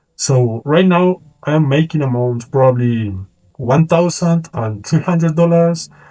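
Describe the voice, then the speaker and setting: The voice is dark, mellow and somewhat breathy, with a Colombian accent, ordinary pitch variation and a fairly slow pace. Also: man. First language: Spanish. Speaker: freelance video editor and vlogger. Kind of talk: casual vlog monologue to camera.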